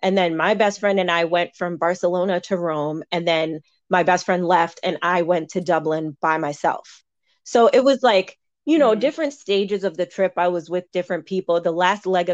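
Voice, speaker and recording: A woman speaks in a normal speaking voice at a fairly low pitch and moderate pace, with ordinary pitch variation, in a dry, close sound with no echo and a quiet background. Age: 30s. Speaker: university staff member. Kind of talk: casual chat.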